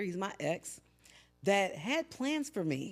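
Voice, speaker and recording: Loud and animated, a woman at a medium pitch speaks with very wide pitch swings as music plays in the background. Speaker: podcast host. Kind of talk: casual monologue.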